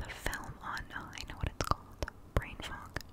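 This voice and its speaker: A woman is whispering. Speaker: ASMR creator. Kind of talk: soft-spoken ASMR chat. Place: home room. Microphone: studio mic.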